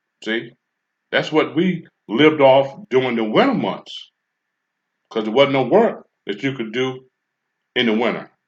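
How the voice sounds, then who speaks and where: Against a quiet background, a man at medium pitch talks at a fairly slow pace with lively intonation and long, frequent pauses. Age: 60s. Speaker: commentary channel host. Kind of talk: casual monologue. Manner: halting, with frequent fillers.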